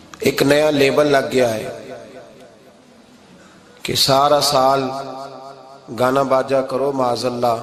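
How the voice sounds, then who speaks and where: A man speaks in a monotone, flat way with noticeable background noise behind him. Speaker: Islamic preacher. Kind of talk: Islamic sermon. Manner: emotional, passionate.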